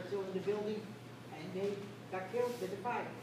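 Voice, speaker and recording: Amid noticeable background noise and audible room echo, a woman speaks fairly quickly at medium pitch with fairly even intonation. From Rotterdam, Netherlands. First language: Dutch. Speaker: war survivor. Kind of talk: personal testimony at a school event. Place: hall. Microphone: camera far.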